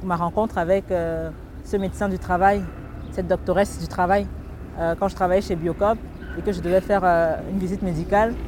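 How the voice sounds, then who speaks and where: A woman speaks with long, frequent pauses. Noticeable background noise runs under her voice. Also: fairly quick pace. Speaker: author and humorist. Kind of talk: interview. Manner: halting, frequent repetitions. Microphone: crackling interference in recording.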